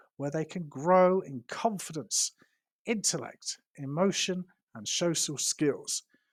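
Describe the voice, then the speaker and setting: Dry and close with no echo, the very clean recording has a silent background. A man with a British accent speaks fairly slowly in a high voice, with lively intonation. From London, England. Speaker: English teacher. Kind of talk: teacher self-introduction to camera.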